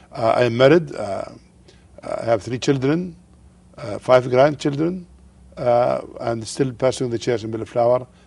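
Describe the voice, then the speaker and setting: A man talks with an Arabic accent. Long, frequent pauses break up his speech. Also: medium pitch for a man, ordinary pitch variation, moderate pace. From Jordan. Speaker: pastor. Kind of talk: TV interview. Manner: halting.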